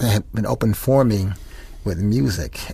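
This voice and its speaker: A man with an American accent talks at a fairly quick pace. His pitch is fairly low, and there is noticeable background noise. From Rochester, New York, US. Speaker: jazz saxophonist. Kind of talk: interview. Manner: fast.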